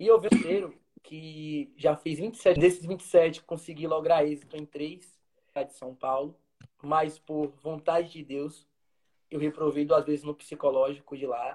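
A very slow male voice, fairly high for a man, dark and mellow in tone, with fairly even intonation and big swings in loudness. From Brazil, interior of Bahia (Feira de Santana). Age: 20s. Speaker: street vendor who passed the military police exam. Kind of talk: live stream interview, personal testimony.

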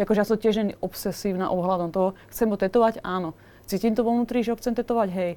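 Very fast pace, fairly even intonation and a dark, mellow tone. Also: woman. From Slovakia. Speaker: tattoo artist. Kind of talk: casual chat.

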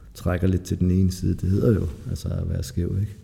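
Speaking at a moderate pace, a man with a very deep, low pitch is heard against noticeable background noise. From Denmark, Lolland. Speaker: recovering addict. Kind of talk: testimony. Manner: halting.

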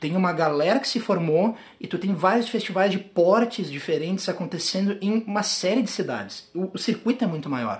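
At a moderate pace with hardly any pauses, a man speaks at a high pitch with ordinary pitch variation. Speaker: podcast host, tap dancer and teacher. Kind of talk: casual interview. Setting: own apartment.

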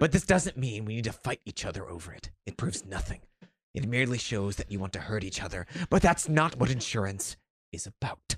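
A man puts on a character voice at medium pitch. He talks at a fairly quick pace. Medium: read story. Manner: stern, lecturing, self-righteous.

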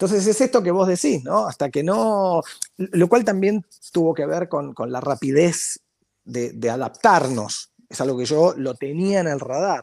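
The man has a high-pitched voice and lively intonation. He speaks at a fairly slow pace. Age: 40s. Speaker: marketing professor and consultant. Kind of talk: interview conversation. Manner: halting, frequent repetitions.

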